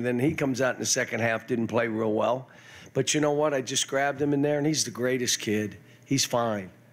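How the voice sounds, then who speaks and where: Speaking with fairly even intonation, a man keeps up a fairly quick pace. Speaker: basketball coach. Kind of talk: postgame press conference remarks. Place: hall. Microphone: podium.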